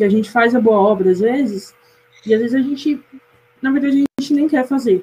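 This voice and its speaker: Her pitch fairly high, a woman speaks at a fairly quick pace with ordinary pitch variation. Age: 20s. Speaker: university student, media analyst. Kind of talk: casual chat.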